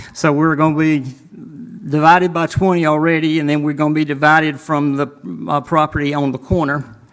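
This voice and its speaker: Fairly quick speech in a Southern US accent with monotone, flat intonation. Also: man, fairly high pitch for a man. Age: 70s. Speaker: landowner speaking at public hearing. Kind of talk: public hearing testimony. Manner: halting.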